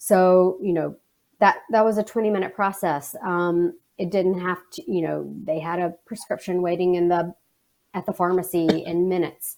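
At a moderate pace, a woman speaks in a monotone, flat intonation with a medium pitch. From Alabama. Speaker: communications manager. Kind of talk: interview. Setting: video call.

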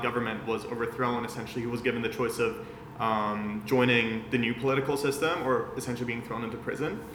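A man at a fairly quick pace with hardly any pauses, medium pitch and monotone, flat intonation, over noticeable background noise. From Vienna, Austria. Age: 20s. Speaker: digital marketing agency founder. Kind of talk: casual interview chat.

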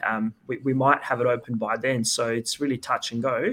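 A man's medium-pitched voice, bright and sharp, at a fairly quick pace with monotone, flat intonation. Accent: Australian. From Perth, Western Australia. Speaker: futsal head coach. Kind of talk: podcast interview.

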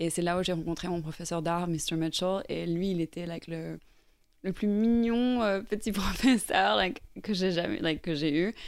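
This woman's voice sits at a fairly low pitch and moves at a fairly slow pace. Her pitch varies in an ordinary way. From Ireland, raised in Norway. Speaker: painter. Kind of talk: interview. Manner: hesitant.

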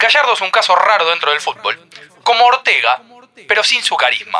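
A man with a high pitch and a Rioplatense accent talks at a fairly quick pace with lively intonation against noticeable background noise. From Argentina. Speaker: football podcast host. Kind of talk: casual chat.

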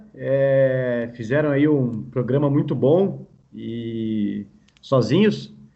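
A man's voice at a fairly high pitch. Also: very even loudness. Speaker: podcast host. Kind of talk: casual chat.

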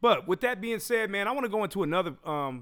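With an American accent, a man talks in an animated tone and lively intonation. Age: 40s. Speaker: podcast host and DJ. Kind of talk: casual chat. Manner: animated, laughing often.

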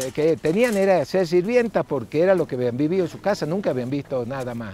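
Using a plain, everyday voice, a man talks at a moderate pace with a fairly high pitch and lively intonation. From northern Argentina. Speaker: lawyer and community activist. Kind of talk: interview testimony.

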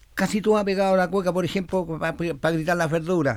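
A man in a Chilean accent talks at a fairly quick pace with fairly even intonation. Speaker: cueca singer and composer. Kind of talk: interview. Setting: studio.

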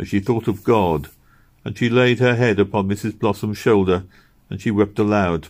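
A natural reading voice. That is all it offers.

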